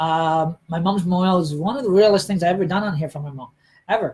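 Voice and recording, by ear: A man speaks fast in a high voice with a slightly mellow tone, a slightly husky edge, and ordinary pitch variation.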